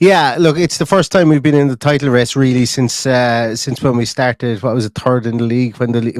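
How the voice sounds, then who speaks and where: Speaking very fast with an Irish accent, a man uses a medium pitch and fairly even intonation, captured in a dry, close sound with no echo. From Ireland. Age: 30s. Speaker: football fan podcaster. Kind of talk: casual chat. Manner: repetitive, stammering restarts.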